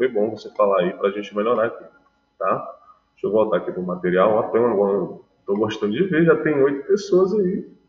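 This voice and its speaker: Audible room echo surrounds a man's speech. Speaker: math teacher. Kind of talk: online class lecture. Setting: live online class. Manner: soft-spoken.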